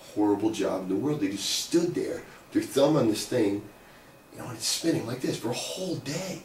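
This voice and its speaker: Fairly high in pitch and lively in intonation, a man moves at a fairly quick pace over noticeable background noise. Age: 50s. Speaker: economics academic and author. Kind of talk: personal storytelling to camera. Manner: casual, conversational.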